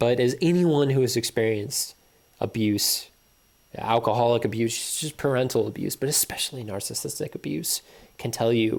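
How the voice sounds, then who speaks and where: A man has an ordinary speaking voice at a medium pitch. He talks at a moderate pace with ordinary pitch variation. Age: 30s. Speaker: video blogger. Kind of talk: personal monologue.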